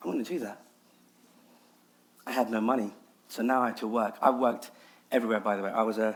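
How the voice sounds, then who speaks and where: A London accent at a fairly quick pace, in a very clean recording with a silent background. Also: man. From London, England. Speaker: nasheed artist and public speaker. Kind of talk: TEDx talk.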